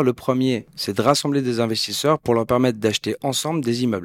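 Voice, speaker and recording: A man with an ordinary speaking voice at medium pitch and a fairly quick pace, in a dry, close sound with no echo and a very clean recording with a silent background. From Switzerland, Geneva. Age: 40s. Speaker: entrepreneur. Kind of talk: interview.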